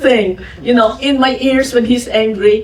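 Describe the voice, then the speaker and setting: A woman with a Filipino accent speaks at a high pitch. Noticeable background noise is present. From Philippines. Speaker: podcast host and businesswoman. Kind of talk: fireside chat with audience. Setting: museum event with audience.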